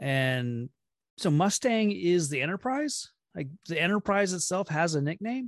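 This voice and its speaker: A man speaks at a high pitch and a fairly slow pace, with very wide pitch swings. The sound is dry and close with no echo, over a quiet background. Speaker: podcast guest co-host. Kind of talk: casual chat.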